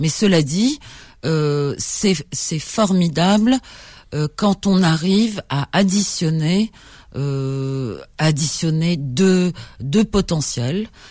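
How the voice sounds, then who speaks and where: A woman's fairly low, dark, mellow voice with lively intonation, a very slow pace, and long, frequent pauses, in a very clean recording with a silent background. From Algeria, Algiers. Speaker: journalist, writer and publisher. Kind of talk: radio interview.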